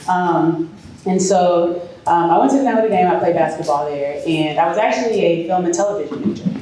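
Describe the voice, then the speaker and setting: The pace is moderate, with ordinary pitch variation and very even loudness. Room echo is audible, along with noticeable background noise. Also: woman, fairly low pitch for a woman. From Chicago. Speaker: former pro basketball player turned real estate developer. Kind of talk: speech to an audience. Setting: event hall with audience and microphone.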